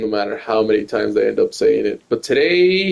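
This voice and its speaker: Moving at a moderate pace, a man's high voice makes very wide pitch swings. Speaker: game streamer. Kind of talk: live gameplay commentary. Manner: halting, frequent fillers like 'like'.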